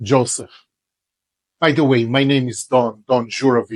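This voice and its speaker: A man talks at a medium pitch in an Israeli accent, his intonation monotone and flat. The sound is dry and close, with no echo. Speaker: religious teacher. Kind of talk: religious lecture.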